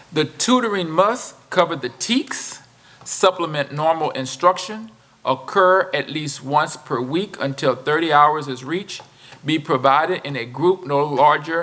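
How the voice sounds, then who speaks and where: Noticeable background noise accompanies a voice with ordinary pitch variation at a fairly slow pace. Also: man, fairly high pitch for a man. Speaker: school district administrator. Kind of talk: school board meeting presentation. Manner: halting.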